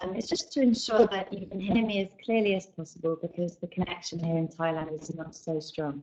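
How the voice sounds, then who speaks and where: Speaking in an English accent, a woman keeps a moderate pace with ordinary pitch variation. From England. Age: 20s. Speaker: English teacher. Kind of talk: online class. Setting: online video class, webcam off. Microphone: weak internet connection.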